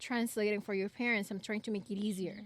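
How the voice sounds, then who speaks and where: Intonation stays fairly even while the words come very fast. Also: woman. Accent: Spanish. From Ecuador. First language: Spanish. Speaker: podcast co-host. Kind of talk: casual chat. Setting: outdoors in a backyard.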